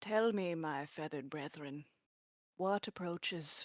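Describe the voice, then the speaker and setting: The speaker uses a put-on character voice at a middle pitch. The pace is fairly slow. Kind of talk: theatrical, grandiloquent address. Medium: actual play. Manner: dramatic, flourishing.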